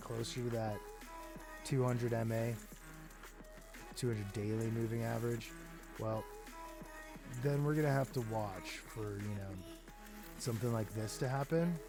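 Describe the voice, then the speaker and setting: Music plays behind a man speaking at a medium pitch and a moderate pace. His pitch varies in an ordinary way, and he leaves long, frequent pauses. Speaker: crypto market analyst. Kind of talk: casual chart analysis talk to camera.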